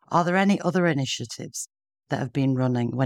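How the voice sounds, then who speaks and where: In a Yorkshire accent, a woman speaks with a very deep, low pitch and ordinary pitch variation. The recording is very clean and dry, with a close sound, no echo and a silent background. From northern England. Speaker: podcast host. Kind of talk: interview conversation.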